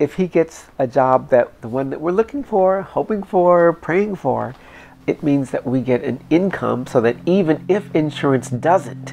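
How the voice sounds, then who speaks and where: A woman's dark, mellow tone at a fairly slow pace, with lively intonation. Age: 50s. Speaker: interviewee. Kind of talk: documentary interview.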